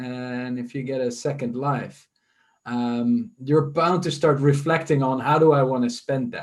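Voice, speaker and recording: Someone with a Dutch accent speaks at a fairly slow pace with fairly even intonation. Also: man, medium pitch for a man. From Netherlands, near Amsterdam. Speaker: leadership school partner. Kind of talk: fireside chat interview.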